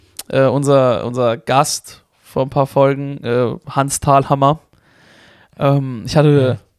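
A man with a fairly high pitch at a very slow pace, with monotone, flat intonation and very even loudness, in a dry, close sound with no echo. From Germany, Karlsruhe (Baden). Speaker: podcast host and aspiring stand-up comedian. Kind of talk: casual chat. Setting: home recording in a flat.

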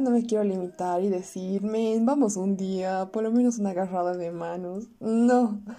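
Her tone dark and mellow, a woman speaks at a medium pitch and a fairly slow pace with ordinary pitch variation. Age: young. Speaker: podcaster. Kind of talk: personal audio diary monologue. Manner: halting.

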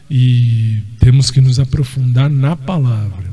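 Noticeable background noise runs through the clip. The man's delivery is very slow. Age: 40s. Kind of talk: casual monologue.

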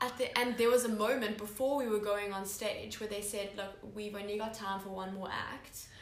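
Noticeable background noise and audible room echo surround a woman's voice. She talks fairly quickly at a fairly high pitch in a monotone, flat intonation. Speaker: podcast host. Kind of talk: casual chat.

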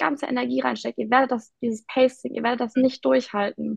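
A somewhat breathy woman at a fairly quick pace. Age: 20s. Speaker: startup founder. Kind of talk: interview. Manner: hesitant, many fillers.

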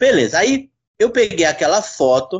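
A man's voice, high in pitch. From Brazil, São Paulo. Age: 30s. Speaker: novelist. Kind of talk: casual chat.

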